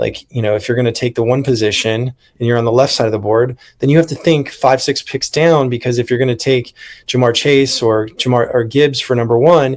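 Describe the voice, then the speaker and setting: This is a plain, everyday voice from a man at medium pitch. He talks at a fairly quick pace with fairly even intonation. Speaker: podcast host and horse racing handicapper. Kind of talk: casual podcast conversation.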